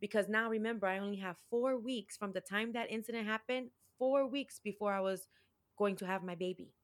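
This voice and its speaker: A woman with an American accent speaks in an unremarkable speaking voice, fairly high-pitched, at a fairly quick pace with fairly even intonation. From Chicago, US Midwest. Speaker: domestic violence survivor and empowerment coach. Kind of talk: interview testimony.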